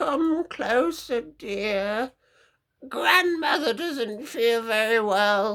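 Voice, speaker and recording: A female-sounding voice puts on a character voice at a fairly high pitch and a very slow pace, on a very clean recording with a silent background. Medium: read story. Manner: false sweetness, mimicking.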